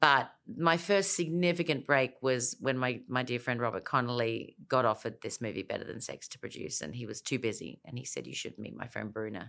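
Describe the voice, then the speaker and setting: With a very deep, low pitch, a woman speaks at a fairly quick pace, hardly pausing, while her loudness swings a lot. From South Australia (Elizabeth). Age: 50s. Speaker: film and TV producer. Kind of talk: interview.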